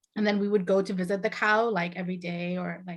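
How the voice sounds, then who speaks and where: A woman with a Bengali accent at a medium pitch, fairly quick and fairly even in intonation. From Saudi Arabia, Bangladeshi family (born in Bangladesh). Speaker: author and video host. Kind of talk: casual chat.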